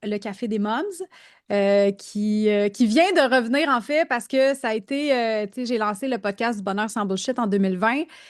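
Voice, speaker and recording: Against a quiet background, a woman with a Quebec accent speaks at a moderate pace in a fairly high pitch with ordinary pitch variation. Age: 40s. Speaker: business coach and podcast host. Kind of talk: casual interview. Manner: hesitant, many fillers.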